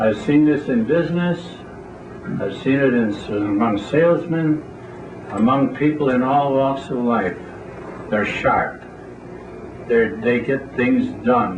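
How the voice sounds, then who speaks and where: A man speaks at a very slow pace with long, frequent pauses, his pitch medium and its variation ordinary. Noticeable background noise and audible room echo fill the recording. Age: 80s+. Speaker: AA speaker. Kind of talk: recovery talk to a meeting. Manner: plain-spoken.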